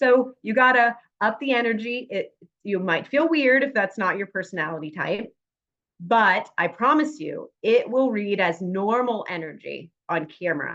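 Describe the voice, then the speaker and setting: Loud and animated, a woman speaks at a fairly slow pace with lively intonation and a bright, sharp tone. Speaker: on-camera coach and actress. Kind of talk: workshop presentation.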